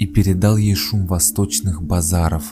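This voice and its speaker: Over background music, a man speaks in a very deep, low pitch at a fairly slow pace. His tone is calm and soothing, with ordinary pitch variation. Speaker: author reading own works. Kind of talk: legend narration. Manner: calm, soothing.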